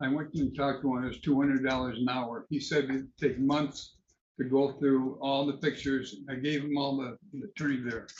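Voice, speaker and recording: Man with a fairly high pitch, flat monotone delivery and moderate pace in audible room echo. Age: 80s+. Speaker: defendant. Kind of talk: court hearing. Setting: courtroom. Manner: halting.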